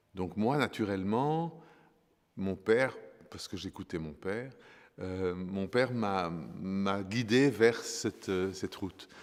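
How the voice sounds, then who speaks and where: Very slowly, with long, frequent pauses, a man speaks at fairly low pitch with ordinary pitch variation. The recording is very clean and the background silent. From Congo, then Brussels. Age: 60s. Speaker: fashion designer. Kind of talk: interview. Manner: halting, many hesitations.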